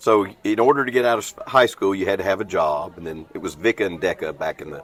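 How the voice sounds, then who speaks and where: Talking at a very fast pace in a strong Southern accent, a man barely pauses while his loudness swings widely over noticeable background noise. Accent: thick Southern. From US South, Clarksville, Tennessee. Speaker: restoration business owner. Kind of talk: podcast interview. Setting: on a cruise ship.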